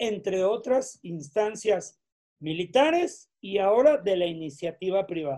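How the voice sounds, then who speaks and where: A man with a high voice and a dark, mellow tone speaks at a fairly slow pace with lively intonation. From Mexico. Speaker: UFO researcher. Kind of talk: interview answers.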